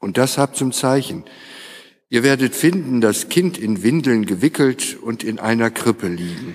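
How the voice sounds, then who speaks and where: A man in a normal speaking voice at a medium pitch and a fairly slow pace, with lively intonation, on a very clean recording with a silent background. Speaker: lector. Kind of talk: scripture reading aloud in a service. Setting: church.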